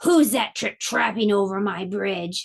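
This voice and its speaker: A loud put-on character voice at a fairly slow pace. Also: woman, medium pitch for a woman. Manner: menacing, loud.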